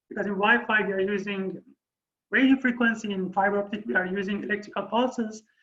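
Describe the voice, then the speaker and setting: The speaker has a Persian accent. The pace is very fast. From Iran. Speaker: university lecturer. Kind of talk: lecture. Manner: halting.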